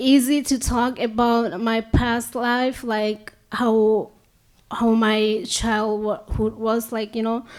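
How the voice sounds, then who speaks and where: The pace is very slow. The speaker is a woman with a non-native accent. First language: not English; English is her fourth language. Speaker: immigrant panelist. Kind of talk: personal testimony on a panel. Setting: auditorium panel with audience. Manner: halting.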